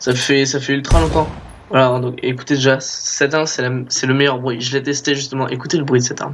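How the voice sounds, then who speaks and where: A man's fairly high voice over noticeable background noise. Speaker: gaming youtuber. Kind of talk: gameplay commentary. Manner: halting, many repetitions.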